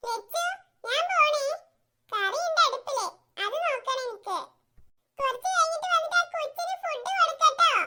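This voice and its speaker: In a cartoonish character voice, a female-sounding speaker squeaks at an extremely high pitch. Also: moderate pace. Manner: brisk, commanding.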